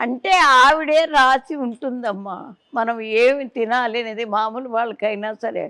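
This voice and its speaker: A woman's bright, sharp voice sits at a fairly high pitch with ordinary pitch variation. The recording is very clean, with a silent background. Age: 80s+. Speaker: devotee interviewed on health. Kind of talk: interview.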